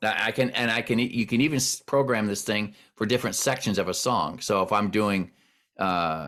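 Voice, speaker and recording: A man with an unremarkable speaking voice keeps a moderate pace and ordinary pitch variation, captured on a very clean recording against a silent background. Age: 60s. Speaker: worship pastor. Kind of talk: casual chat.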